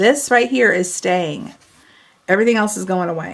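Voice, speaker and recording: Her voice is an ordinary speaking voice, a woman's at a medium pitch with ordinary pitch variation. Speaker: papercraft product demonstrator. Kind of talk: tutorial. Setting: home video recording, camera.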